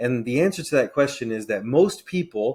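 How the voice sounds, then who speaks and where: A man with an ordinary speaking voice, medium pitch and ordinary pitch variation, on a very clean recording with a silent background. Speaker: realtor and Navy veteran. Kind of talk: educational explainer video.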